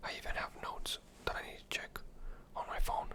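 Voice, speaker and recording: Whispering over noticeable background noise. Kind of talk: casual talk to camera, ASMR close whispers. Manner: close whispered, relaxing.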